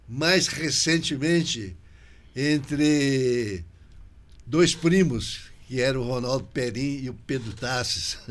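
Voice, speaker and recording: Amid audible room echo, a man with a medium pitch speaks at a very slow pace with long, frequent pauses and ordinary pitch variation. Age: 80s+. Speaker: podcast host. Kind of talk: interview podcast conversation. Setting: local TV studio.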